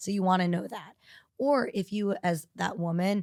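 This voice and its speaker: In an ordinary speaking voice, a woman with an American accent talks at a moderate pace and medium pitch. The sound is dry and close, with no echo. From New York City. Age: 40s. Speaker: fertility doctor. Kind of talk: podcast interview. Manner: conversational, with fillers.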